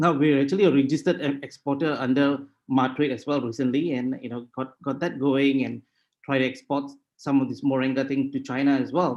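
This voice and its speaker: Speaking at a fairly quick pace with a Tamil accent, a man uses a fairly high pitch and fairly even intonation. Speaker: sustainability consultant. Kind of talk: webinar presentation. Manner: halting.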